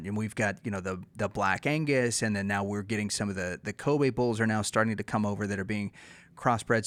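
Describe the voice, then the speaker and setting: On a very clean recording with a silent background, a man with an American accent speaks in a normal speaking voice at fairly low pitch. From Texas, USA. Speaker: podcast host. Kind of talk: casual podcast interview.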